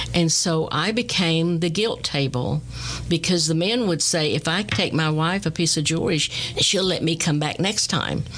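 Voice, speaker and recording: Amid noticeable background noise, a woman with an American accent talks at a moderate pace, her pitch fairly low with ordinary variation. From Texas. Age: 70s. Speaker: artist and radio host. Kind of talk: interview. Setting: studio.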